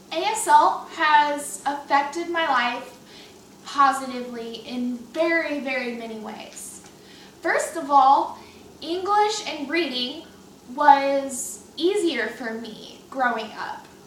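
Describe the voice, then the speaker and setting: A woman at a high pitch and very slow pace, with lively intonation and big swings in loudness, amid audible room echo and noticeable background noise. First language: American Sign Language. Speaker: student. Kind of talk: class speech.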